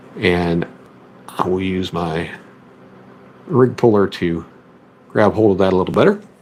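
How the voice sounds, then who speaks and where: Over noticeable background noise, a man with a very deep, low pitch speaks at a fairly slow pace with fairly even intonation and long, frequent pauses. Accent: American. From US South, Memphis, Tennessee area. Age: 30s. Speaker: fishing streamer. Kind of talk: tutorial. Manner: casual.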